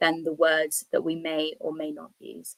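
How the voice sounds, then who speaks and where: A woman with a British accent speaks at a moderate pace. The sound is dry and close, with no echo. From England. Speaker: English teacher. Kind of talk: online presentation. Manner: clear, measured delivery for learners.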